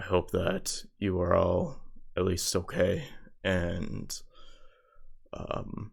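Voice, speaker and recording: A man performs a put-on character voice in a very clean recording with a silent background. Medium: actual play. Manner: smooth, persuasive.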